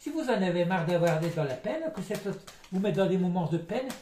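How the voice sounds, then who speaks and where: Over noticeable background noise and audible room echo, a man talks very fast in a high voice with very wide pitch swings. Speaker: psychic tarot reader. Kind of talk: tarot card reading. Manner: halting.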